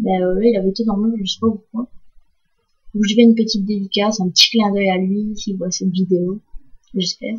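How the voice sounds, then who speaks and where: In a medium pitch, a woman speaks at a fairly quick pace with monotone, flat intonation and long, frequent pauses. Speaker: gaming YouTuber. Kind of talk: gameplay commentary. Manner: hesitant, many fillers; loud breathing audible.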